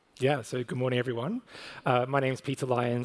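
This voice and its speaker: A man's medium-pitched voice in an Australian accent, very fast pace and fairly even intonation. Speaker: corporate communications manager. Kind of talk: panel discussion. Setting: stage with audience.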